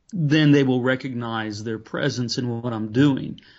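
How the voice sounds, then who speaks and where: A man with an unremarkable speaking voice talks at a medium pitch and moderate pace with ordinary pitch variation against a quiet background. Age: 50s. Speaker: pastor and author. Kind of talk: interview about faith.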